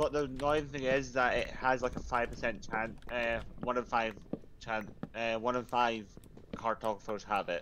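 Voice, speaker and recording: A man at a medium pitch and moderate pace, fairly even in intonation, with noticeable background noise. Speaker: game server player; streamer. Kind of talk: casual gaming chat. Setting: online voice chat. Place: home room.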